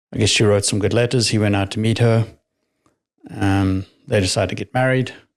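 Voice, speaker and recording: Monotone, flat intonation from a man with a slight southern African accent, fairly low in pitch and fairly quick in pace, on a very clean recording with a silent background. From Namibia. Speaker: retired military pilot. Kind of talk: interview testimony.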